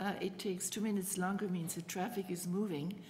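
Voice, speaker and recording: The voice is somewhat breathy, with a dark, mellow tone. Audible room echo surrounds it. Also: woman. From Germany. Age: 80s+. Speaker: retired city councillor. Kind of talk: public committee deputation. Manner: animated.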